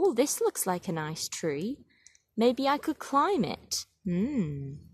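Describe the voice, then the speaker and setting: A female-sounding put-on character voice speaks at a fairly high pitch and a fairly slow pace, with very wide pitch swings. The recording is very clean, with a silent background. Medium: read story.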